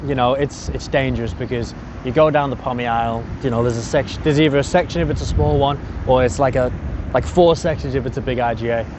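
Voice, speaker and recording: Amid noticeable background noise and audible room echo, a man speaks at medium pitch with lively intonation. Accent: English. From England. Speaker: personal trainer and podcast host. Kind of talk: casual monologue. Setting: outdoors at a beach. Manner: rambling, easily distracted.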